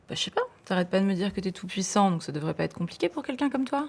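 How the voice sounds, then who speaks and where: A woman at a medium pitch races along at a very fast pace with very wide pitch swings. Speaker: actress. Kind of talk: film and TV drama scenes. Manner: cold, threatening.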